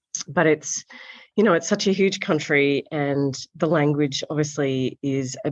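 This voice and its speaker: A woman with an Australian accent speaks in a calm tone at a moderate pace. Her pitch is very deep and low. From Australia, south coast. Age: 40s. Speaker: magazine founder and editor. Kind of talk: interview.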